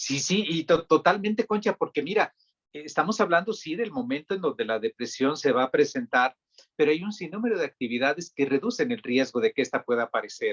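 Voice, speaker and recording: In a dry, close sound with no echo, a man speaks at a high pitch with very wide pitch swings. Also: fairly quick pace. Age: young. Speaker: psychiatrist. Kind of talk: interview.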